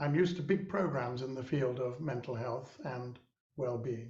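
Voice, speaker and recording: This man talks at a moderate pace in a medium pitch, somewhat breathy. Audible room echo surrounds his voice. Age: 70s. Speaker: social entrepreneur and mentor. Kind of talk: webinar conversation. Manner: halting.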